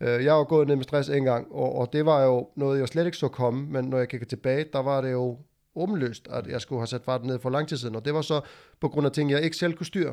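Against a quiet background, a man with a plain, everyday voice speaks at a medium pitch and a fairly quick pace with fairly even intonation. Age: 30s. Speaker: podcast host, former tradesman and powerlifter. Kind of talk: casual chat.

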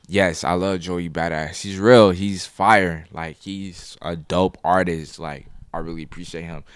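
A man with a very deep, low voice speaks at a fairly slow pace with fairly even intonation and hardly any pauses. His loudness swings widely in a very clean recording with a silent background. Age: 20s. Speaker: photographer. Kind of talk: casual chat.

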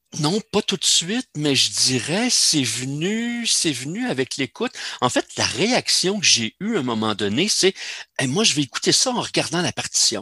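A man with a Quebec accent speaks with a high pitch, a bright, sharp tone and very wide pitch swings, in a dry, close sound with no echo. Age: 60s. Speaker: semi-retired amateur cellist. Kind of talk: casual interview.

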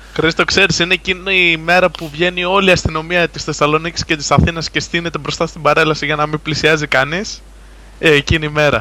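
A man speaks at a fairly quick pace in a fairly high pitch, his intonation monotone and flat. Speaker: gaming site contributor. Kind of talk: casual chat.

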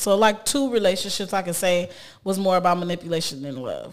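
A woman is speaking. Her pitch sits at a medium level. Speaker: podcast host. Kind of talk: casual chat. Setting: studio. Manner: loud.

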